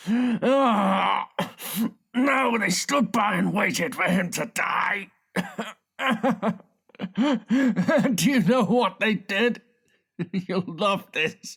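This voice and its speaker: This man has a high-pitched voice and ordinary pitch variation, talking at a very slow pace with long, frequent pauses. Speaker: audiobook narrator and voice actor. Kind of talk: thriller audiobook excerpt with dialogue. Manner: tense, aggressive.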